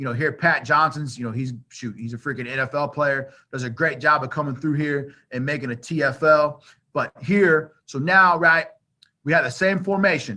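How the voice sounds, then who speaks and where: A man speaks with a bright, sharp tone in a fairly high pitch. His pitch variation is ordinary. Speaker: football coach. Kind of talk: coaching clinic presentation. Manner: fast; casual, filler-heavy.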